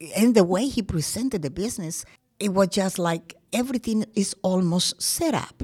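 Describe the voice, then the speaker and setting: A woman with medium pitch and a somewhat breathy voice talks at a moderate pace. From Colombia. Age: 70s. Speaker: crime victim. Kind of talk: testimony.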